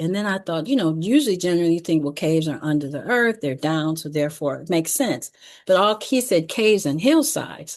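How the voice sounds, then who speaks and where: A woman with an American accent talks at a fairly quick pace in a plain, everyday voice, fairly low in pitch. Her intonation is lively, and the background is quiet. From Detroit, Michigan, US. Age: 60s. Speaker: educator. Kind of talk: closing announcements; presentation with slides.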